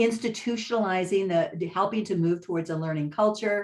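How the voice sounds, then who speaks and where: A woman's medium-pitched voice, a normal speaking voice with ordinary pitch variation. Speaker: policy researcher. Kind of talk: panel presentation. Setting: webinar.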